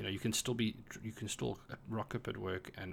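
A man speaks at a fairly quick pace with a fairly low pitch. Vocal fry runs through his voice. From South Africa. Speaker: podcast co-host, tech worker. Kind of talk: casual chat.

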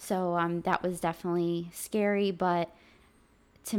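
The recording is very clean, with a silent background. A woman talks at a fairly slow pace with monotone, flat intonation. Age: 20s. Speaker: podcast co-host sharing her health journey. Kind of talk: casual chat.

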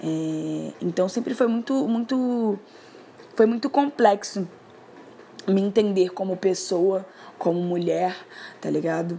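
Very slowly, a woman speaks. Her voice is fairly low with a dark, mellow tone. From Rio de Janeiro. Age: 20s. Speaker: poet and musician. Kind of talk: personal testimony. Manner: casual, hesitant with fillers.

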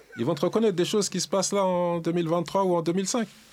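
This man's high-pitched voice moves along at a fairly quick pace. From Le Havre, France. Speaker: rap scene member. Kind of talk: casual chat.

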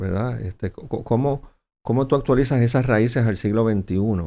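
A man talks at a moderate pace with a medium pitch, ordinary pitch variation and a dark, mellow tone. The recording is very clean, with a silent background. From Puerto Rico. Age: 60s. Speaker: senator. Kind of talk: political interview.

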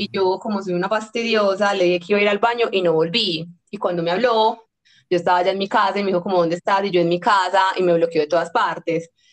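Her words come very fast, the woman's voice sitting at a medium pitch with fairly even intonation. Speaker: podcast host. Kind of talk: casual chat.

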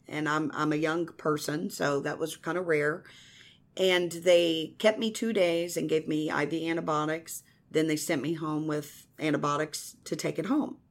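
The speaker has a Midwestern American accent and fairly even intonation at a moderate pace. The recording is very clean, with a silent background. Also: woman, very deep, low pitch for a woman. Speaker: evangelist. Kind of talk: testimony. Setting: radio studio.

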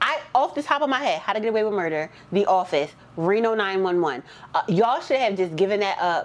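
Animated in tone, a woman talks at a fairly quick pace. Her pitch swings very widely. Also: medium pitch for a woman. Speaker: podcast host. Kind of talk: casual chat.

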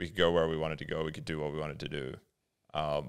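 Very fast in pace, a man talks in a very deep, low voice with vocal fry. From Australia, adulthood in US (Detroit). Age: 30s. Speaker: podcast co-host. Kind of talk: casual chat.

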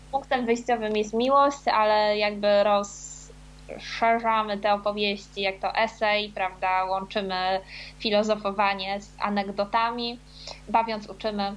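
A woman speaks at medium pitch in a monotone, flat intonation. Her pace is very slow, and her loudness swings widely. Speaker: author. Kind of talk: casual chat. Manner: halting.

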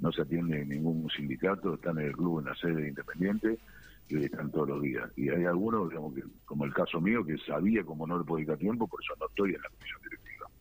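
Delivery comes at a very fast pace with ordinary pitch variation. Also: man, very deep, low pitch for a man. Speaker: football club official. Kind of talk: interview.

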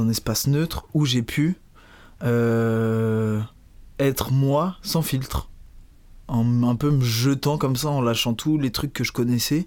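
This man has an unremarkable speaking voice at medium pitch, with ordinary pitch variation and very even loudness. The recording is very clean and the background silent. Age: 20s. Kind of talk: casual interview.

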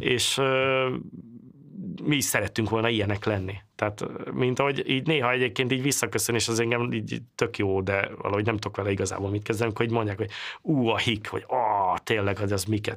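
The delivery comes at a very fast pace with fairly even intonation and very even loudness, on a very clean recording with a silent background. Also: man, medium pitch for a man. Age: 40s. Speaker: computer programmer. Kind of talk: interview.

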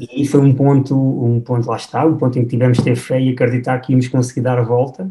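Speaking at a very fast pace with hardly any pauses, a man keeps a medium pitch and very even loudness. His intonation stays monotone and flat. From Portugal, Batalha (Leiria district). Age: 30s. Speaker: film director. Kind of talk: podcast interview. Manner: halting, frequent repetitions.

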